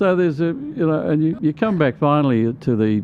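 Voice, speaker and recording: Over noticeable background noise, a man with an Australian accent talks at a moderate pace, his fairly high voice carrying lively intonation. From Queensland, Australia. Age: 70s. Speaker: union organiser. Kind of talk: interview conversation. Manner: halting.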